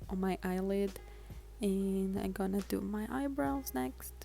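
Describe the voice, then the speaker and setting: Speaking at a fairly slow pace, a woman talks with a non-native accent. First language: not English. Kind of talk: casual makeup tutorial voiceover.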